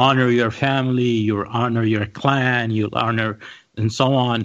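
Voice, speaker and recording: The speaker talks at a fairly slow pace in a Saudi accent. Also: man, quiet background. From Saudi Arabia, Riyadh. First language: Arabic. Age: 40s. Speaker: podcast panelist. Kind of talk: casual chat.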